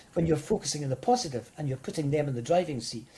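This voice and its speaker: This voice has a dark, mellow tone and is somewhat breathy. The intonation is lively, with a Scottish accent. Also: man. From Scotland. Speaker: motivational speaker. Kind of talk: interview.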